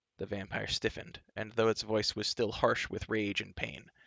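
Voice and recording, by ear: Someone is reading aloud in a natural voice. The delivery is read rather than spoken off the cuff.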